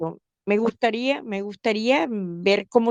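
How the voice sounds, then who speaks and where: At a very slow pace, a woman speaks with ordinary pitch variation in a dry, close sound without echo. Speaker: listener calling in. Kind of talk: casual chat. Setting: online live call, audio only.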